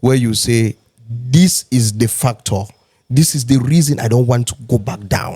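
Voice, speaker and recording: With ordinary pitch variation and a moderate pace, the voice has a dark, mellow tone and a somewhat breathy quality. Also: man. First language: not English. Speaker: podcast host. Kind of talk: casual chat.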